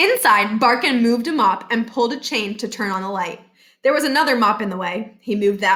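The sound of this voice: An unforced reading voice is all this clip holds.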